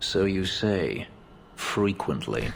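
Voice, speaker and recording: A man in a put-on character voice, very deep and low, with clear background noise. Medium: video game. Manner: dry, sardonic.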